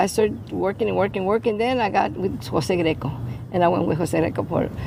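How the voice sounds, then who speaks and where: Over noticeable background noise, a woman with an American accent speaks at a fairly quick pace in a fairly low pitch with very wide pitch swings and very even loudness. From San Antonio, Texas (west side). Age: 70s. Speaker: flamenco dancer and teacher. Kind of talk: interview. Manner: halting, repeats words.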